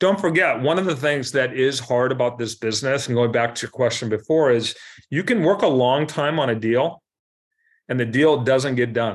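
A man with an American accent has an ordinary speaking voice at medium pitch. He talks at a moderate pace with ordinary pitch variation. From US Pacific Northwest, Seattle. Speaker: commercial real estate broker. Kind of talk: interview.

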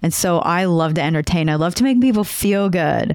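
This is a woman speaking with a North Dakota accent. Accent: Upper Midwest (North Dakota). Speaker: podcaster and emotional intelligence speaker. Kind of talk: interview conversation.

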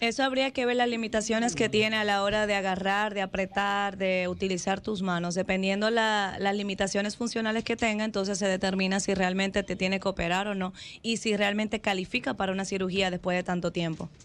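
Fairly quick, monotone, flat delivery with hardly any pauses and very even loudness, on a very clean recording against a silent background. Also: woman, medium pitch for a woman. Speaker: doctor. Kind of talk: explanatory talk.

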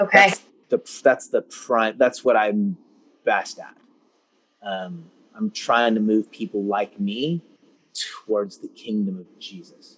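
A man with a Californian accent speaks at a fairly slow pace, with long, frequent pauses and big swings in loudness. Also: dry, close sound with no echo. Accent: Californian American English. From US West Coast (Concord, California). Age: 40s. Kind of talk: casual interview.

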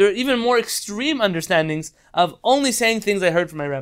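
A man rattles along at a very fast pace with a high pitch and lively intonation. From Israel. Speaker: rabbi teaching Talmud class. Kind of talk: online Torah class lecture. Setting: video call.

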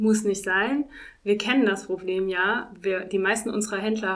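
The speaker is a woman with a medium-pitched voice. She keeps a moderate pace in a monotone, flat intonation. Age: 40s. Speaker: winemaker. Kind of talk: interview.

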